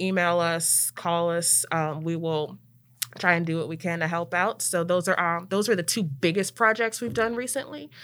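A woman with an American accent and a fairly low pitch talks at a moderate pace in a normal speaking voice, on a very clean recording with a silent background. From Maryland, near Washington DC. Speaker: city planner and program manager at a neighborhood nonprofit. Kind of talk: casual interview chat. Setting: studio.

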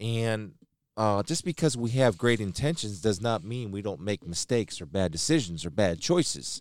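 A fairly low-pitched male voice at a moderate pace, very wide pitch swings, on a very clean recording with a silent background. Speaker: former football player, sports podcast co-host. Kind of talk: casual chat.

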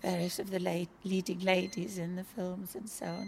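Somewhat breathy, a woman's voice moves at a moderate pace. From Birkenhead, northern England. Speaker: hospital patient.

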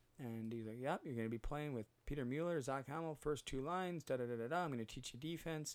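A man with a Western Canadian accent speaks with ordinary pitch variation in a very clean recording with a silent background. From Western Canada (Vancouver area, British Columbia). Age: 30s. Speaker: podcast host, former hockey player in recovery. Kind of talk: personal storytelling monologue. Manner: frequent fillers and hesitations.

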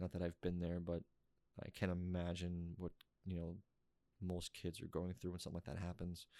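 A man's very deep, low pitch and dark, mellow tone come through in a dry, close sound with no echo. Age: 30s. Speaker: podcast host. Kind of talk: solo intro and sponsor reads.

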